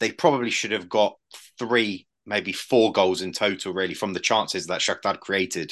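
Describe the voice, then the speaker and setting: An ordinary speaking voice from a man, fairly low in pitch, with ordinary pitch variation at a moderate pace. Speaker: football podcast co-host. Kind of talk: casual chat.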